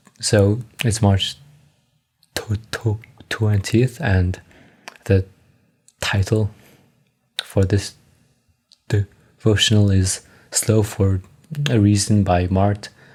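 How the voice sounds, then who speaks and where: Somewhat breathy, a man speaks at a very slow pace with fairly even intonation. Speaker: amateur reader sharing stutter practice. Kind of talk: casual chat; reading aloud. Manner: halting.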